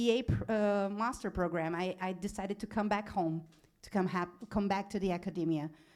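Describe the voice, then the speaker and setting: Speaking in a Portuguese accent, a woman moves at a fairly quick pace with a medium pitch and fairly even intonation. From Brazil. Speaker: animal law specialist, alumni panelist. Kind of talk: panel talk about career path. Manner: halting, many restarts.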